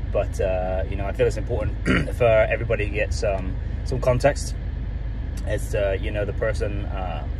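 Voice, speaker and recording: Noticeable background noise behind a man's dry voice, no echo at all. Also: moderate pace. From United Kingdom. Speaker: food truck planner, former teacher and retail manager. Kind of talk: casual talk to camera. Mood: earnest, slightly nervous. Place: car. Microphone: phone near.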